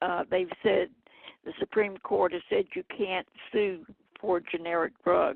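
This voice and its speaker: A woman with a Southern US accent, at a fairly slow pace. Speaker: health activist. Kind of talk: radio interview.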